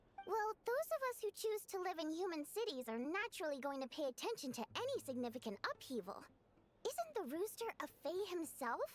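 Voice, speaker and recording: Over clear background music, a female-sounding, put-on character voice speaks at an extremely high pitch and a fairly quick pace. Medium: video game. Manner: sly, pointed.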